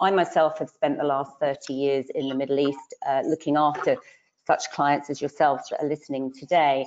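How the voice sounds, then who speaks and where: A woman's very deep, low voice with a British accent, fairly quick pace and monotone, flat intonation. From UK. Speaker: financial adviser. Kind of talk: webinar panel presentation. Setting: online webinar.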